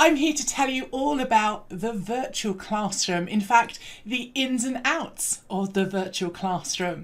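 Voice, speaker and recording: A British-accented woman speaks at a fairly slow pace with a fairly high pitch, an upbeat tone, lively intonation and hardly any pauses. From England. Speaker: learning and development trainer. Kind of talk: recorded presentation.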